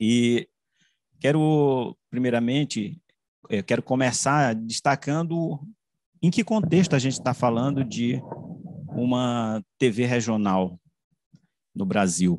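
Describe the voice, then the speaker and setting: A man talks at a very slow pace with lively intonation. The sound is dry with no echo, and the background is quiet. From Caxias, Maranhão, Brazil; Maranhão, Brazil. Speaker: journalist and media researcher; journalist. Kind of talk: academic presentation. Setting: video call. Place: home room. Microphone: video call.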